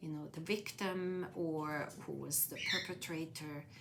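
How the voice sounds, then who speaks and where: A woman with a Swiss accent, fairly low in pitch, with a bright, sharp tone at a very slow pace and audible room echo. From Switzerland, near Zurich. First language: Swiss German. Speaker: interviewee. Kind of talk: life story interview. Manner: hesitant, many fillers.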